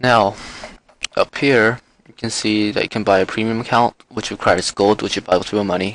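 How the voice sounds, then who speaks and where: A man with a normal speaking voice and a fairly low pitch talks at a fairly quick pace with fairly even intonation, in a dry, close sound with no echo. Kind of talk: game tutorial voice-over. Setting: muffled microphone.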